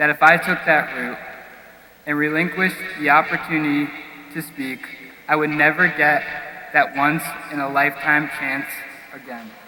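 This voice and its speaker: A man with a fairly high pitch talks at a moderate pace, leaving long, frequent pauses. His loudness swings widely, and there is noticeable background noise. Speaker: graduating student speaker. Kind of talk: commencement speech. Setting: stage with audience. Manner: formal.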